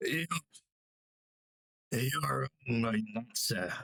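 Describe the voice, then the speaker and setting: Putting on a character voice, a man speaks in a raspy tone at a medium pitch with very wide pitch swings, the sound dry and close with no echo. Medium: game stream. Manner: stiff, formal.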